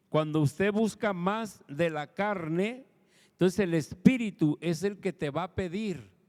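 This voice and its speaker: The delivery is at a fairly slow pace with ordinary pitch variation. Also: man, high pitch for a man. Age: 60s. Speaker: pastor. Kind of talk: sermon.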